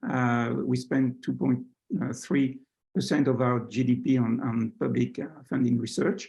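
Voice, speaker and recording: A man speaks with a French accent at a fairly slow pace. His loudness stays very even. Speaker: science attaché, professor. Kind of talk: presentation. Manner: hesitant, many fillers.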